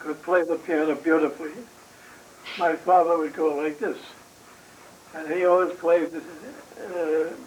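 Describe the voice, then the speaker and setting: Against noticeable background noise, a man with a New York accent speaks at a high pitch in a monotone, flat way. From New York City. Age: 80s+. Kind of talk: interview answer.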